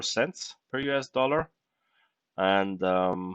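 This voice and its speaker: A man speaks with a non-native accent in a bright, sharp tone. His pitch varies normally over a quiet background. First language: not English. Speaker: crypto investing YouTuber. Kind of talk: casual screen-share tutorial. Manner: halting, many fillers.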